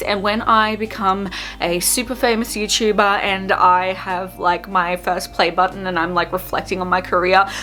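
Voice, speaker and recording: A woman with an Australian accent at a moderate pace, music in the background. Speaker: beauty vlogger. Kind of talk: makeup tutorial with casual chat. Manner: chatty, casual.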